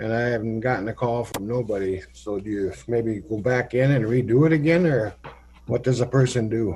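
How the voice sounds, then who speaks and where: A man with a Minnesota accent has a dark, mellow, somewhat breathy voice at medium pitch. He moves at a moderate pace with ordinary pitch variation. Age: 60s. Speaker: county commissioner. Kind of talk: public meeting questions. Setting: county board meeting.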